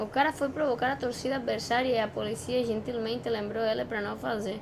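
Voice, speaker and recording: Noticeable background noise sits behind a woman's fairly high voice. Her tone is animated and her pace fairly quick. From outside Brazil. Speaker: reaction youtuber. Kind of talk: video reaction commentary.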